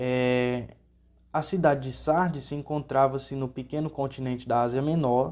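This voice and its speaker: Monotone and flat in intonation, a man with a fairly high pitch and a dark, mellow tone talks at a moderate pace. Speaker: Sunday school teacher. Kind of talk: Bible lesson.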